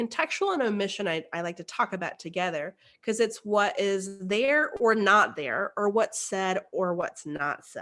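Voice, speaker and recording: A woman talks with hardly any pauses, her tone bright and sharp and her intonation lively, against a quiet background. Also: medium pitch for a woman. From Texas, rural. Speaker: engineer and keynote speaker on inclusion. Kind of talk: virtual keynote talk. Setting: virtual presentation. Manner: conversational, with fillers.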